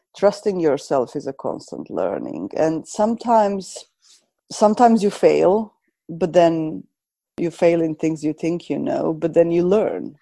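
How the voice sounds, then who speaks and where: A woman talks at a fairly slow pace with lively intonation, a fairly low pitch and vocal fry. Her tone is dark and mellow against a quiet background. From Croatia. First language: Serbo-Croatian. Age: 40s. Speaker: coach and counselor. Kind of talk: interview conversation.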